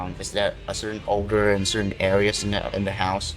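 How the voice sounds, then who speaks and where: Music plays in the background as the voice proceeds at a moderate pace. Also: man. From Saigon, Vietnam. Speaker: hostel receptionist. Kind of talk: interview answer.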